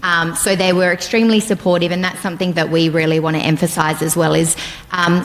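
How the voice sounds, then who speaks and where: A woman with an Australian accent talks at a very fast pace. Her intonation is monotone and flat over noticeable background noise. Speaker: nurse educator. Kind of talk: presentation. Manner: loud.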